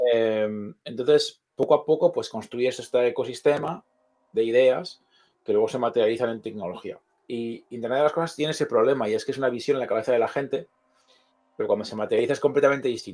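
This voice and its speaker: A man speaks very fast against a quiet background. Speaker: co-founder of an electronics platform. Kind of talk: interview.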